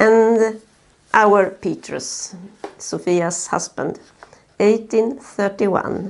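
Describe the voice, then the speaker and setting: A woman with a Swedish accent speaks at a very slow pace. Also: medium pitch for a woman, ordinary pitch variation. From Sweden. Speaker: family history narrator. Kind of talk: video narration for relatives. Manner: halting, frequent uh fillers. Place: home room. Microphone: phone near.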